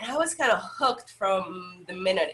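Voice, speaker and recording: A woman with a Salvadoran accent speaks at a fairly slow pace over noticeable background noise. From El Salvador. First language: Spanish. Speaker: yoga instructor. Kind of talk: interview.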